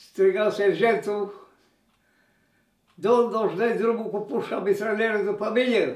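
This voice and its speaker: Talking at a fairly slow pace, this man has a high-pitched voice. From Transylvania, Romania. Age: 80s+. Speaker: war veteran. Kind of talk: interview storytelling.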